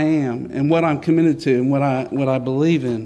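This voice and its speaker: A man's dark, mellow tone in a North Carolina accent, ordinary pitch variation and audible room echo. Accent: US Southern (North Carolina). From North Carolina, Johnston County (Smithfield). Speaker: state senator. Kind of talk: public speech. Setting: church with audience.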